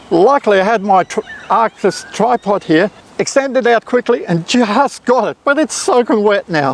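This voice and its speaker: The intonation is lively and the pace moderate. The sound is dry and close with no echo, though noticeable background noise is present. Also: man, high pitch for a man. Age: 60s. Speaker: photography youtuber. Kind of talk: tutorial. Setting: outdoors. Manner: casual, chatty.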